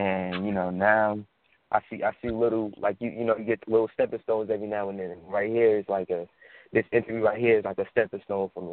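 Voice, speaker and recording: In an American accent, a man with a fairly low voice speaks at a very fast pace in a monotone, flat intonation. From New Jersey. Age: young. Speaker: independent rapper. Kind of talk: radio interview. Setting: phone call.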